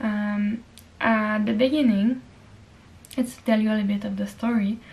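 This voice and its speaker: A woman speaks at a moderate pace with a French accent, her fairly high voice somewhat breathy. Her intonation stays monotone and flat. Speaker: lifestyle vlogger. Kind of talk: casual vlog monologue. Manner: hesitant, with fillers.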